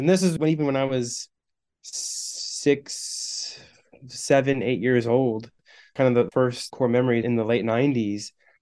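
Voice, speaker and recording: A man with an American accent, medium pitch, a dark, mellow tone, fairly even intonation and a moderate pace. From Missouri and Michigan. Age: 30s. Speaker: youth minister. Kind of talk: casual chat.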